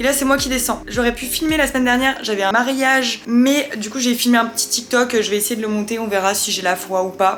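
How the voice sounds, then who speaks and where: Noticeable background noise sits behind a woman with a high pitch. Her pitch variation is ordinary. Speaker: vlogger. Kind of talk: casual vlog talk to camera. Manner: casual, rambling.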